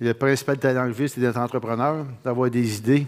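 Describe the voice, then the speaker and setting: The man's intonation stays monotone and flat. He speaks at a moderate pace. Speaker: business founder; conference speaker. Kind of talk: conference talk. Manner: halting. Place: hall. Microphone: headset.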